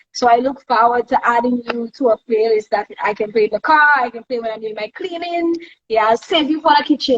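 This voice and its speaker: In a Saint Lucian accent, a woman talks fairly quickly at a high pitch with ordinary pitch variation, the sound dry and close with no echo. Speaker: live stream host. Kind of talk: casual interview chat.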